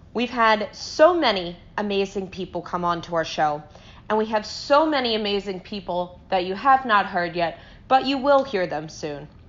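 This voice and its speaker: Using a plain, everyday voice, a woman speaks fairly slowly at a medium pitch with lively intonation. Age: 20s. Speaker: podcast sound editor. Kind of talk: prepared personal statement.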